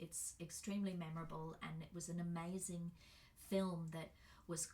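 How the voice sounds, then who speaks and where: Somewhat breathy and fairly low in pitch, a woman with an Australian accent speaks at a fairly slow pace. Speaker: birth educator and workshop facilitator. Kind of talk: presentation. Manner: casual, with fillers.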